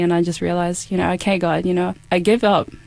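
With an Australian accent, a woman speaks very fast in a fairly low pitch and a monotone, flat delivery over noticeable background noise. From far north Queensland, Australia. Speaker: volunteer missionary canvasser. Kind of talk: interview testimony.

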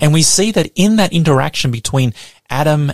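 With an Australian accent, the speaker sounds somewhat breathy and uses lively intonation, recorded in a dry, close sound with no echo. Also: man. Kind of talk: radio sermon.

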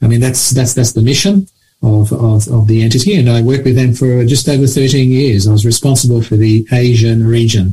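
Talking at a fairly quick pace in an Australian accent, a man with a medium-pitched, dark, mellow and somewhat breathy voice keeps his loudness very even and his pitch variation ordinary. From Australia (Sydney), born in Mauritius. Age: 60s. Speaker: charity leader. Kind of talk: radio interview.

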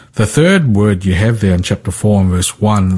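Fairly low in pitch, a man's dark, mellow voice comes through somewhat breathy with a slight New Zealand accent. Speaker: Bible teacher. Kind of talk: Bible study discussion on radio. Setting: remote link from another town.

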